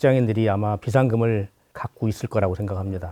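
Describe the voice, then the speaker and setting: A dark, mellow tone comes through in a dry, close sound with no echo and a quiet background. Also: man. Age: 60s. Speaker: retiree. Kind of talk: casual chat.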